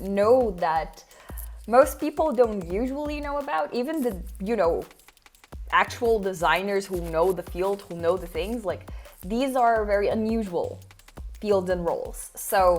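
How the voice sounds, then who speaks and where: Music plays in the background as a woman talks at a fairly slow pace. Her medium-pitched voice has lively intonation. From Brazil. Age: 20s. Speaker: design consultant. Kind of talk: online workshop talk.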